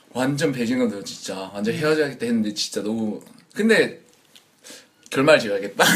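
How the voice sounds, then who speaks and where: At a fairly quick pace, a medium-pitched man speaks with lively intonation and long, frequent pauses. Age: 20s. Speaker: working holiday maker. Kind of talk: casual chat.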